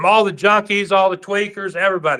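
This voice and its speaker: In a raised, projected voice, a man speaks at a high pitch with an animated, bright, sharp tone. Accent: American. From Oklahoma, Tulsa. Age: 50s. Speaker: pool player. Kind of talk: casual chat. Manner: animated storytelling.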